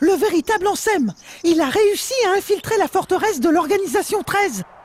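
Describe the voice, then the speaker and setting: Someone uses a put-on character voice at an extremely high pitch, talking at a moderate pace. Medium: short film. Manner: earnest.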